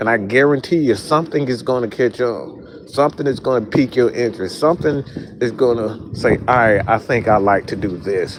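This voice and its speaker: A man with a Southern US accent, medium pitch, ordinary pitch variation and an animated tone, over noticeable background noise. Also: fairly quick pace. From US South. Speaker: sports content creator. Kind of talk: motivational talk to camera. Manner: casual, animated.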